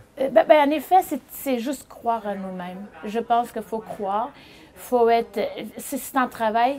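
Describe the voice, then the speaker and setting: The speaker uses ordinary pitch variation. The loudness swings widely throughout. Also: woman, fairly high pitch for a woman. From Portugal, small village. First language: Portuguese (speaking French). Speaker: chef and restaurateur. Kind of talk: interview. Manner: halting with repetitions.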